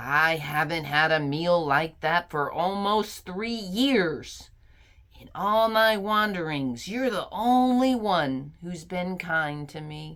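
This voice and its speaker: A woman's put-on character voice, fairly low in pitch, very slow, with big swings in loudness. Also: lively intonation. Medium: read story. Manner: gruff, blunt.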